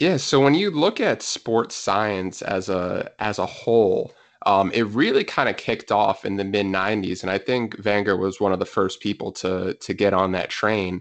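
A man with an American accent talks at a moderate pace with hardly any pauses. He has an unremarkable speaking voice, fairly low in pitch with ordinary variation. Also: quiet background. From US, New Jersey. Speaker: physiotherapist and soccer coach. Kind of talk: casual interview chat.

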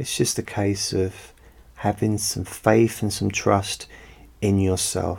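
A man speaks at a very slow pace in a fairly low, somewhat breathy voice with a calm tone and fairly even intonation. The recording is very clean, with a silent background. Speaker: hypnotherapist. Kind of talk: hypnosis session. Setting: home recording.

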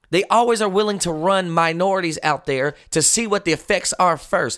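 On a very clean recording with a silent background, the tone is animated. The pace is moderate, and the pitch varies in an ordinary way. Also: man. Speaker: radio host and pastor. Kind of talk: radio host patter, fiery sermon-like commentary. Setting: radio studio broadcast. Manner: animated, impassioned, emphatic with repetition; rhetorical, preacherly cadence, stumbling and restarting phrases.

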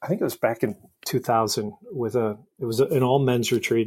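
The voice is a man's, medium in pitch. He talks with an American accent. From US Midwest, Detroit area and Indianapolis. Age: 50s. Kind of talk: casual interview chat.

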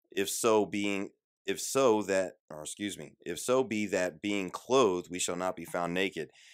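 Heard in a very clean recording with a silent background, a man with a very deep, low pitch speaks at a moderate pace with fairly even intonation. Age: 30s. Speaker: Bible study teacher. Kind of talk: live Bible study. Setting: live stream. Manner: informal, many fillers.

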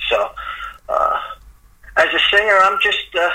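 Noticeable background noise runs behind a man with a New York accent. He speaks at a moderate pace. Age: 60s. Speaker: singer-songwriter. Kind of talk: casual interview. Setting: remote call. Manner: halting, repeats words.

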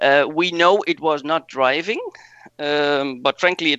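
A man with a Dutch accent and a fairly high voice speaks at a fairly slow pace with fairly even intonation. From Netherlands. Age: 40s. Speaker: rally driver. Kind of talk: casual interview.

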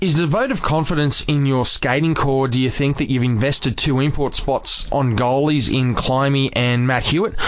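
A man with an Australian accent, fairly high pitch, ordinary pitch variation, very even loudness, a moderate pace and hardly any pauses, over noticeable background noise. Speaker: community radio sports show host. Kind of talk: radio sports talk show. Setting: studio.

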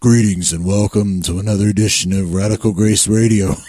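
A man does a put-on character voice at a fairly low pitch. He talks fairly quickly in monotone, flat intonation. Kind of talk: formal greeting.

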